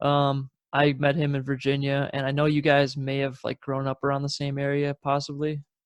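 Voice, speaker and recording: A man speaks at a moderate pace with monotone, flat intonation and fairly high pitch. The sound is dry and close with no echo. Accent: American. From Wisconsin, southern end near Illinois. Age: 30s. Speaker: podcast host. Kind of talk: casual chat.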